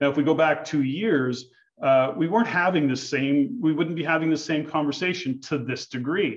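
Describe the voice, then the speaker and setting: In an ordinary speaking voice, a man talks at a moderate pace, pitched fairly high with ordinary pitch variation. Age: 60s. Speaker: real estate investor educator. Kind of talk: podcast interview.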